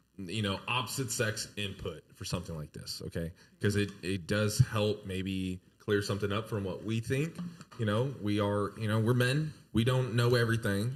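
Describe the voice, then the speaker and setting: A man with an American accent sounds somewhat breathy, with ordinary pitch variation. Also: fairly low pitch for a man, moderate pace. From Texas, San Antonio. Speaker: podcast host. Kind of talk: casual chat.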